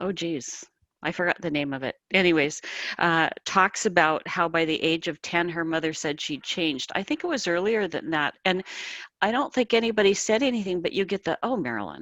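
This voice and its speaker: With an Upper Midwest accent, a woman talks at a fairly quick pace with lively intonation in a dry, close sound with no echo. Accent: Upper Midwest American. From US Midwest, South Dakota. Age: 60s. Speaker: author. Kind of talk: interview. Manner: high energy.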